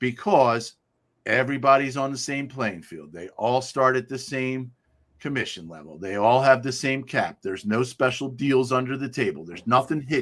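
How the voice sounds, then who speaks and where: A man speaks at a moderate pace in an unremarkable speaking voice, with medium pitch and lively intonation. His loudness swings widely, and the recording is very clean with a silent background. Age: 60s. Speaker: real estate agent. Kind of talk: casual chat.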